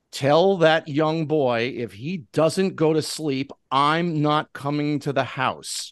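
A man does a booming put-on character voice at a fairly high pitch. His delivery is fairly slow with fairly even intonation, over a quiet background. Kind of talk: interview banter. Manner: stern, commanding.

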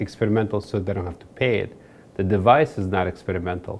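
Speaking fairly quickly, a man uses a fairly low pitch with ordinary pitch variation. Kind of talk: interview answer. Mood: calm, explanatory. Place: office.

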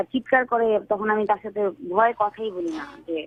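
A woman's fairly high voice with ordinary pitch variation, set against noticeable background noise. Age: young. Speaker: caller. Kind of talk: phone-in personal problem account. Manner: halting.

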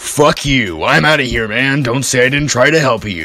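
Over faint background music, a man talks at a moderate pace with a medium pitch. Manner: urgent, exasperated.

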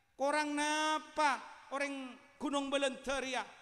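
Speaking in a Madurese accent, a man uses a raised, projected voice at an extremely high pitch, with a bright, sharp, animated tone at a fairly slow pace against a quiet background. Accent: Madurese-accented Indonesian. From Madura. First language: Madurese (speaking Indonesian). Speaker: Islamic preacher; religious preacher. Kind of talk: sermon. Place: hall. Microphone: handheld.

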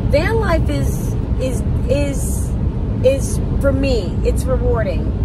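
Loud background noise surrounds a dry sound that has no echo. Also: woman. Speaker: van life vlogger. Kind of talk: casual vlog chat. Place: car. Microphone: phone near.

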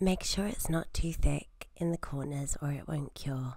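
Soft-spoken and at a moderate pace, a woman talks over a silent background in a very clean recording. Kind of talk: instructional tutorial narration.

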